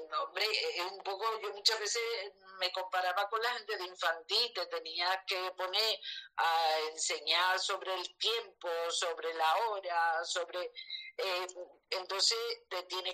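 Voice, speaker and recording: At a very slow pace, a woman speaks in a bright, sharp tone at medium pitch, her intonation fairly even. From Andalusia, Seville. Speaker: retired teacher. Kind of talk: casual chat. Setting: live online audio room.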